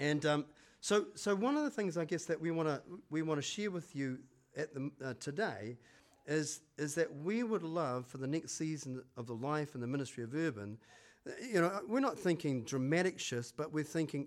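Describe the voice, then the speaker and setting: With a New Zealand accent, a man speaks at a moderate pace in a fairly high pitch, his intonation lively, on a very clean recording with a silent background. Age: 60s. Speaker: church pastor. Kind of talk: sermon. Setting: church with congregation. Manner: hesitant, filler-heavy.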